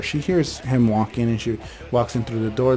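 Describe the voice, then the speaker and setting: A man speaks at a medium pitch with ordinary pitch variation. Music plays in the background. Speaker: storyteller channel host. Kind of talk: casual storytelling. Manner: fast; occasional stutter.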